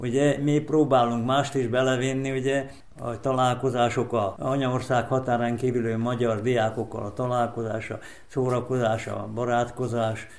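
Amid noticeable background noise and audible room echo, a man speaks at medium pitch and a fairly slow pace with monotone, flat intonation. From Vojvodina, Serbia. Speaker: sports event organizer. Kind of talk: interview.

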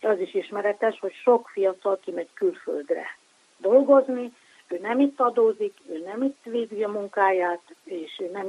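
Recorded with a dry, close sound and no echo, a woman with a plain, everyday voice talks at a medium pitch and fairly slow pace with ordinary pitch variation. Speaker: sociologist. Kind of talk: expert interview. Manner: formal.

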